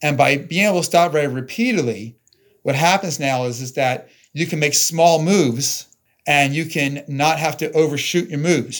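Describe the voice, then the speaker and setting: On a very clean recording with a silent background, a man speaks in a plain, everyday voice at a fairly high pitch, at a moderate pace with ordinary pitch variation. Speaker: company president, sensor maker. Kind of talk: casual interview discussion.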